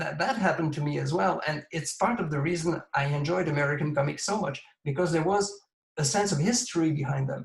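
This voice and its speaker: A man with a Quebec accent, fairly high in pitch with ordinary pitch variation, at a fairly quick pace. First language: French. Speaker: comics creator and collector. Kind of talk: interview.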